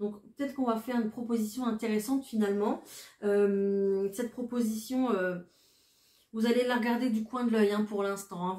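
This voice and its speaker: Over noticeable background noise, a woman speaks at a fairly high pitch and moderate pace with flat, monotone intonation. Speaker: tarot card reader. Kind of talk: tarot reading. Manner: hesitant, many fillers.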